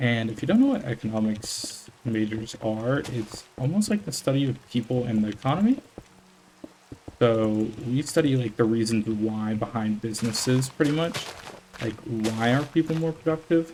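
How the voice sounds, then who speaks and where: A quiet man in a relaxed tone, ordinary pitch variation, with noticeable background noise. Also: medium pitch for a man, moderate pace. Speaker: gaming YouTuber, college student. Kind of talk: casual unedited gameplay commentary. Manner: relaxed, hesitant with fillers.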